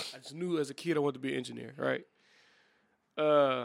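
A fairly high-pitched man with a south Louisiana accent, talking at a fairly quick pace. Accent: south Louisiana US Southern. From Louisiana, New Iberia. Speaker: podcast co-host. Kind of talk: casual chat.

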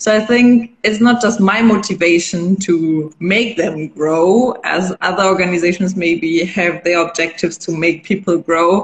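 With a German accent, a woman speaks at a fairly low pitch and a fairly slow pace, with ordinary pitch variation and hardly any pauses. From western Germany, near Düsseldorf. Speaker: NGO founder. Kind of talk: interview. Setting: Instagram live stream.

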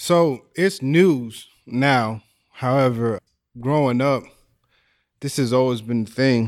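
A man with an American accent speaks at a medium pitch with ordinary pitch variation. His pace is very slow, with long, frequent pauses, in a very clean recording with a silent background. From Texas, near the Mexican border. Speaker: musician and former inmate. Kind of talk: panel discussion.

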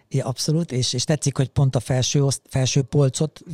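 A man talks at a fairly quick pace in a medium pitch, with a dark, mellow tone, a somewhat breathy quality and fairly even intonation. The recording is very clean with a silent background, and the sound is dry and close with no echo. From Hungary, Szabolcs-Szatmár-Bereg county (Mátészalka). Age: 50s. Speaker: podcast co-host, motorcyclist, café owner. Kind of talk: casual chat. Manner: halting, many repeated filler words.

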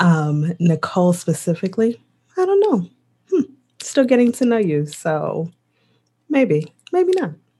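Speaking at a fairly slow pace with long, frequent pauses, a woman with an American accent has a dark, mellow, somewhat breathy tone, a medium pitch and very wide pitch swings. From US Midwest. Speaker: podcast co-host. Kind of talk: casual chat. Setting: video call.

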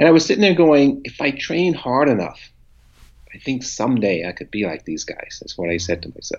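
A man with an American accent speaks fairly quickly, with very wide pitch swings and vocal fry. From US, Memphis Tennessee and St. Louis. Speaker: retired pro bodybuilder. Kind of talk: interview storytelling.

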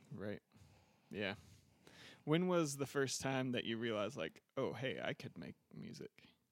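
A man speaks at a fairly slow pace with lively intonation and vocal fry, leaving long, frequent pauses. The sound is dry and close, with no echo. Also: medium pitch for a man. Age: 30s. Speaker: podcast host. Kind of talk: interview. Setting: studio.

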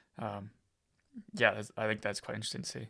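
This man's tone is bright and sharp, with vocal fry and an American accent. The recording is very clean, the background silent. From Iowa, US Midwest. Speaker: podcast host. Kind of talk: interview conversation.

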